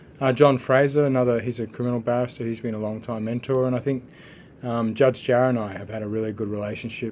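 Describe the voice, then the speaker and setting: Speaking very fast in an Australian accent, a man keeps a medium pitch and a monotone, flat delivery. Noticeable background noise runs underneath. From Australia, northwest Queensland (Mount Isa). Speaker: barrister. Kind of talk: podcast conversation. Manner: casual, with frequent fillers and repeats.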